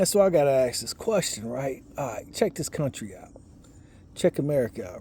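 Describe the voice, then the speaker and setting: A man with a fairly high pitch and a dark, mellow tone speaks with very wide pitch swings and big swings in loudness. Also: moderate pace. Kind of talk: casual monologue, religious commentary. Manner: trying to speak loud; repetitive, halting.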